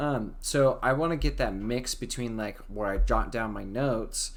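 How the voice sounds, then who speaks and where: Audible room echo is present in this clip. The speaker is a man. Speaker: YouTuber discussing anime. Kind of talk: casual live stream talk. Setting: live stream. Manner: fast; filler-heavy, some stumbling.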